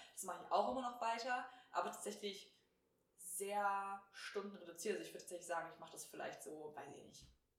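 A woman at medium pitch speaks fairly quickly with ordinary pitch variation. Her loudness swings widely, and room echo is audible. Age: 20s. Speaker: podcast co-host, virtual assistant. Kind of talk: casual chat.

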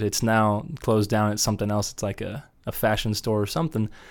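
The speaker has a Midwestern American accent. The recording is very clean, with a silent background. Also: man. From Wichita, Kansas. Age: 30s. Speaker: musician. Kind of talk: casual interview.

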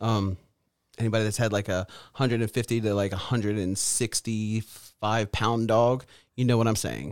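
The man's pitch sits fairly low, his intonation flat and monotone. The recording is very clean with a silent background. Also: moderate pace. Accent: American. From Maryland, Edgewood. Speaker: podcast co-host. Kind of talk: casual chat.

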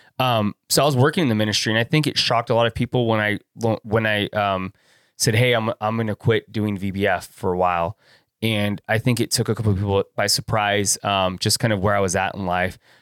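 A man with an American accent and an unremarkable speaking voice talks at a fairly quick pace in a dry, close sound with no echo. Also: fairly low pitch for a man, fairly even intonation, very clean recording, silent background. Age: 40s. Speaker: videographer and photographer. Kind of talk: casual chat. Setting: studio.

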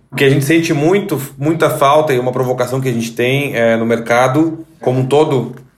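A man speaking at a fairly quick pace, with audible room echo. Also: medium pitch for a man, fairly even intonation, hardly any pauses. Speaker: sound strategist, podcast host. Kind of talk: interview.

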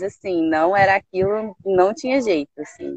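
In an ordinary speaking voice, a woman talks at a fairly slow pace and medium pitch with ordinary pitch variation, the sound dry and close with no echo. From Brazil, Belo Horizonte. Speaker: engineer turned entrepreneur. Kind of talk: interview. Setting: video call.

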